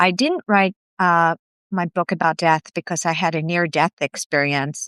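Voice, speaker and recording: Fairly even in intonation, the voice moves at a moderate pace with a dry, close sound and no echo, on a very clean recording with a silent background. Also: woman. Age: 60s. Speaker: author. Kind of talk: interview.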